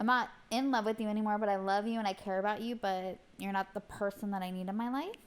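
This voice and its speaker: Her intonation fairly even, a woman talks at a fairly quick pace. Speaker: podcast co-host. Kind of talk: casual chat.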